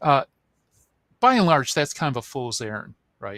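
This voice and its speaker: In a very clean recording with a silent background and a dry, close sound with no echo, a man with a Midwestern accent speaks at a fairly high pitch in an animated tone. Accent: Midwest American. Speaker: author and Bible apologist. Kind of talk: interview. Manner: animated, explanatory; halting with fillers.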